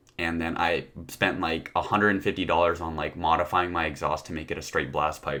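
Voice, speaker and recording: A man's bright, sharp tone at a fairly quick pace, on a very clean recording with a silent background. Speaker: car youtuber. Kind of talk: subscriber Q&A. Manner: fast; casual.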